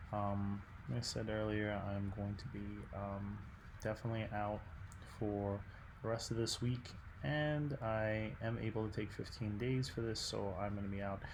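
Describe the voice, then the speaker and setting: A man's fairly low, somewhat breathy voice with fairly even intonation and audible room echo. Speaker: art teacher. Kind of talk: recorded class instructions. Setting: at home at night. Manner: soft-spoken; hesitant, many fillers.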